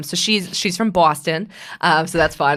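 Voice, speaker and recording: The voice is a raspy, put-on character voice at a middle pitch. It moves at a moderate pace. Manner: exaggerated, put on.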